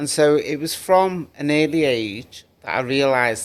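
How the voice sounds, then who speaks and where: A man is speaking. He has a Liverpool accent. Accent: Liverpool (Scouse). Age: 60s. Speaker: community activist. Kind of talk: podcast interview.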